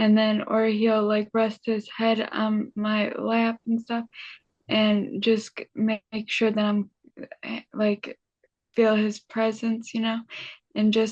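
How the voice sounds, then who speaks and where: A woman's fairly high, somewhat breathy voice in a monotone, flat delivery, with a dry, close sound and no echo. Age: 30s. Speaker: brain injury survivor and motivational speaker. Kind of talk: interview. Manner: halting.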